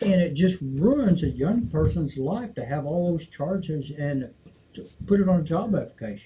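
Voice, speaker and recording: Here is a man with an ordinary speaking voice. He talks at a moderate pace with lively intonation. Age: 60s. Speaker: cannabis talk show host. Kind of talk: casual chat.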